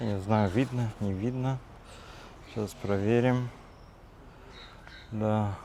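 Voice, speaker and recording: Fairly low in pitch, a man speaks at a very slow pace with fairly even intonation and long, frequent pauses. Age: 40s. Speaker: vlogger. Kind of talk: casual vlog monologue. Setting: outdoors, walking in a park. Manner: hesitant, with fillers.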